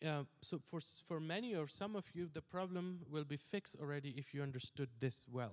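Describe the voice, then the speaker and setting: With lively intonation and very even loudness, a man talks at a moderate pace in a fairly high pitch. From South Asia. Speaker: pastor. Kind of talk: sermon. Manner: halting, many fillers.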